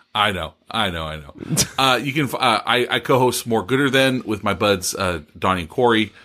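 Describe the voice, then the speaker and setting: A man with an American accent speaks at a moderate pace in a fairly low pitch, his loudness swinging widely and his intonation lively. The tone is bright and sharp, on a very clean recording with a silent background. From Bakersfield, California. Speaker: fellow podcaster. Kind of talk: casual chat.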